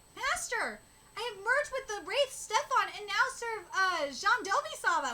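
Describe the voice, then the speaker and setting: Put-on character voice from a woman, pitched extremely high and delivered at moderate speed. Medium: solo performance.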